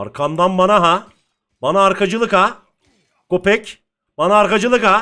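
In a raised, projected voice with a bright, sharp tone, a man speaks at a high pitch in an animated tone with ordinary pitch variation and very even loudness, moving at a fairly slow pace with long, frequent pauses. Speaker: gaming streamer. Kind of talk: gameplay commentary.

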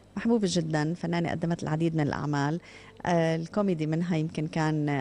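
A woman with a Jordanian accent speaks at a moderate pace and a fairly low pitch. Her tone is dark and mellow, her intonation monotone and flat. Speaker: morning TV show host. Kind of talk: TV interview. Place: hall. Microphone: handheld.

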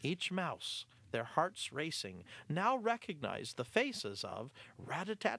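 What you hear is plain reading aloud.

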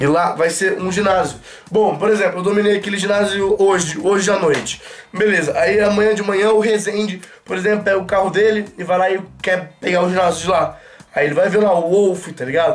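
This high-pitched man talks at a fairly quick pace, his intonation fairly even. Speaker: gaming youtuber. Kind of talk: casual vlog chat. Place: home room. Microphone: camera far.

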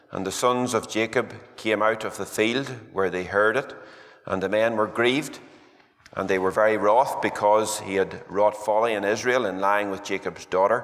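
A man talks at a moderate pace in a fairly low pitch. His intonation is monotone and flat over a quiet background. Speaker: preacher. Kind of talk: scripture reading in a sermon. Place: church. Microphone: podium.

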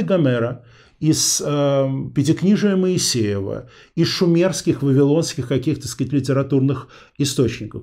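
A man with a dark, mellow tone speaks at a moderate pace. His intonation is lively, and the background is quiet. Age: 40s. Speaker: interview show host; interview host. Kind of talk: interview.

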